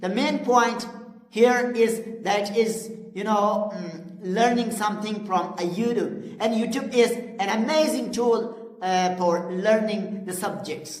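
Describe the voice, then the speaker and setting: Amid noticeable background noise and audible room echo, a woman with a Pashto accent speaks at a very slow pace with a fairly high pitch and ordinary pitch variation. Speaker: English teacher. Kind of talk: tutorial. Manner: halting, with frequent fillers.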